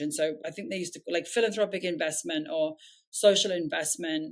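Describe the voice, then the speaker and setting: A woman's fairly low voice moves along at a moderate pace. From southern England. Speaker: nonprofit founder and CEO. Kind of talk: podcast interview. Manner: hesitant, many fillers.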